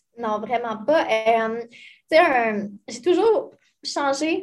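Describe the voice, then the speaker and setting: On a very clean recording with a silent background, a woman with a Quebec accent talks in a high voice with ordinary pitch variation. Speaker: financial advisor. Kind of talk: casual interview.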